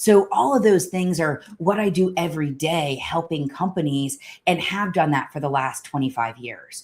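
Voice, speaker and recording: A woman's plain, everyday voice, fairly low in pitch, with lively intonation at a moderate pace on a very clean recording with a silent background. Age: 40s. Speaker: health coach and organizational psychologist. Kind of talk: live stream talk. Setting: live multi-platform stream.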